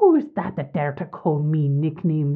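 A put-on character voice from a woman, very deep and low, flat and monotone, at a moderate pace. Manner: roaring with passion, furious.

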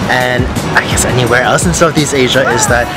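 A man speaks with ordinary pitch variation, his voice dry and free of echo while loud music plays in the background. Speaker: travel vlogger. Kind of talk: casual vlog chat. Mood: relaxed, delighted.

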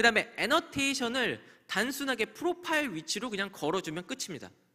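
Against a quiet background, a man speaks very fast in a raised, projected voice with a bright, sharp tone and very wide pitch swings. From South Korea. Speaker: conference speaker on cloud security; conference speaker. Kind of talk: conference talk. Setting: stage with audience. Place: hall. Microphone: podium.

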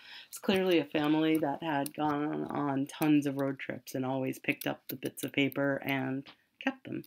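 A woman speaks at a moderate pace in a very deep, low voice with monotone, flat intonation. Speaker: online reseller. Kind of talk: casual video monologue. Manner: rambling, chatty.

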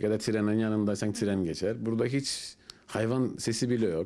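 A man's fairly low voice with a Turkish Cypriot accent. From Northern Cyprus, Famagusta; Northern Cyprus. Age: 30s. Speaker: construction worker; interviewee. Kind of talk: interview. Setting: at home. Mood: relaxed, smiling. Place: home room. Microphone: handheld.

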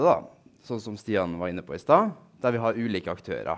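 There is a quiet background as a man speaks at a moderate pace. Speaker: researcher. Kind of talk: lecture. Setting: stage with audience. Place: hall.

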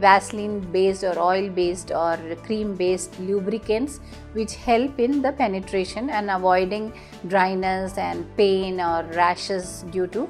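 Faint music plays in the background as a woman speaks. She talks at a fairly slow pace with ordinary pitch variation. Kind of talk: explainer to camera. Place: office. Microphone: lapel.

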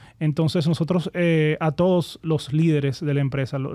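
A man speaks at a moderate pace with fairly even intonation and a dark, mellow tone. The recording is very clean, with a silent background. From Dominican Republic, Santo Domingo. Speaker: entrepreneur, company founder. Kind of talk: interview conversation.

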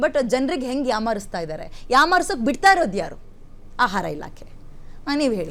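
A woman's high voice swings very widely in pitch and greatly in loudness, with audible room echo. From rural Karnataka village. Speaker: TV news anchor. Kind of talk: TV talk show interview.

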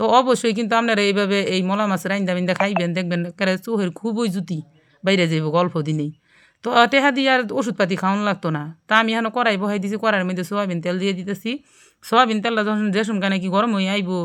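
In a central Bangladeshi accent, a woman speaks at a medium pitch with ordinary pitch variation on a very clean recording with a silent background. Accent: Gazipur regional Bengali dialect. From Bangladesh, Gazipur. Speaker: cooking YouTuber. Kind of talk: cooking tutorial. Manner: casual, chatty.

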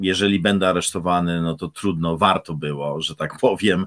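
At a moderate pace, a man talks with a very deep, low pitch. The background is quiet. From Poland. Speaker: pastor. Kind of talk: casual chat; sermon. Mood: earnest, engaged. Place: home room. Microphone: studio mic.

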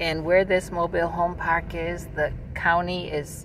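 A woman's voice in a dry sound with no echo, over noticeable background noise. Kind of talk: casual vlog chat. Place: car. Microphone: phone near.

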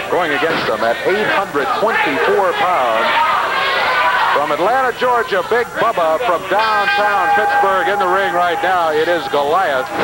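Loud background noise sits under speech delivered at a very slow pace. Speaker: wrestling commentator. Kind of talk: live wrestling play-by-play.

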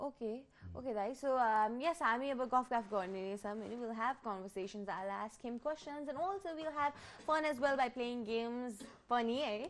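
A woman with a high pitch speaks with ordinary pitch variation. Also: moderate pace. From Nepal. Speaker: TV talk show host; TV show host. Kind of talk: TV interview. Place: studio. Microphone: lapel.

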